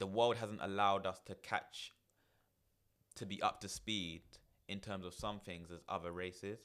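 A man with a London accent, fairly low in pitch, fairly slow and fairly even in intonation. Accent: London English (multicultural London). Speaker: therapist and managing director of a mental health organisation. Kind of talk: casual chat.

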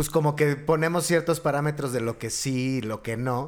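Here a man with an unremarkable speaking voice talks at a fairly slow pace, fairly high in pitch with ordinary variation. The recording is very clean, the background silent. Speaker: podcast host. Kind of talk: casual chat.

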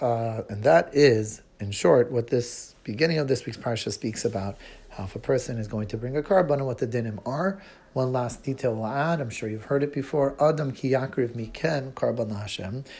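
This man's voice sits at a medium pitch and is somewhat breathy. He moves at a moderate pace with ordinary rises and falls in pitch. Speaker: teacher of a children's Torah class. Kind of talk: children's Torah lesson podcast.

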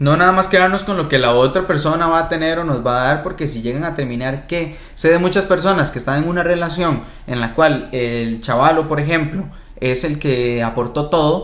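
With audible room echo and noticeable background noise, a man speaks at a moderate pace in a fairly high pitch with ordinary variation. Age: 20s. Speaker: podcast co-host. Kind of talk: casual chat.

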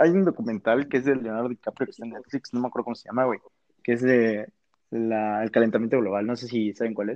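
This man talks at a very fast pace and a medium pitch, his loudness swinging widely. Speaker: university student. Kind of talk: casual chat.

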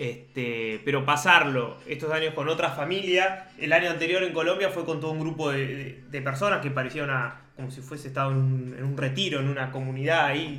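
A man's fairly high voice in a Rioplatense accent, with audible room echo and noticeable background noise. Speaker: podcast co-host. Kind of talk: casual chat.

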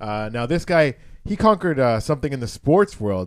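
Moderate pace and lively intonation in a very clean recording with a silent background. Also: man. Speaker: comedian. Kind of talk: casual chat. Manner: loud.

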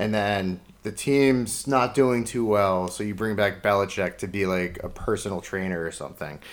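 With a plain, everyday voice, a man talks at a moderate pace, his pitch fairly low and its variation ordinary. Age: 20s. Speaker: sports podcast co-host. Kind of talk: casual chat.

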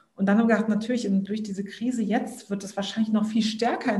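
Against noticeable background noise, a woman speaks fairly quickly at a fairly high pitch. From southern Germany. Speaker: startup founder. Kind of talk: interview.

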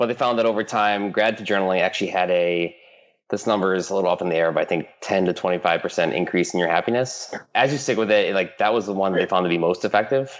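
Speaking very fast in a Midwestern American accent, a man with a fairly low pitch keeps his loudness very even, with ordinary pitch variation. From US Midwest, Michigan. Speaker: app founder. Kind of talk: interview.

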